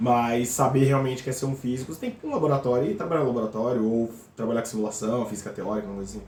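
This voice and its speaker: Talking at a very fast pace amid noticeable background noise and audible room echo, a man holds a medium pitch and fairly even intonation. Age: 30s. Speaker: physics PhD student. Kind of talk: casual interview.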